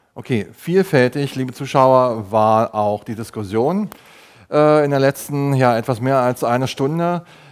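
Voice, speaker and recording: A man talks at a fairly slow pace with ordinary pitch variation. The background is quiet. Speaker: TV talk show host. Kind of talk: moderated panel discussion. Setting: on location in a clinic. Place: meeting room. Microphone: lapel.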